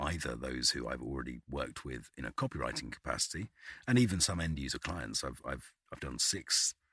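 Speaking at a moderate pace with a British accent, a man has a bright, sharp tone with vocal fry, in a dry, close sound with no echo. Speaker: voice artist. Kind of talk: casual chat. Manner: halting, repeats words.

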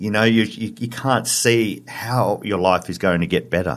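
Using a medium pitch with ordinary pitch variation, a man speaks at a fairly slow pace in an Australian accent. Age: 40s. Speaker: dad running a divorced-dads website. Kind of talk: interview. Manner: halting.

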